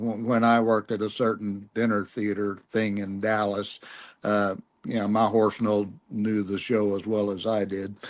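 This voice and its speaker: A man speaks in a fairly low voice with a Texan accent, his intonation flat and monotone against a quiet background. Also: moderate pace. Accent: Texan, noticeable. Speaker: podcast guest, former performer. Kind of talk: casual chat.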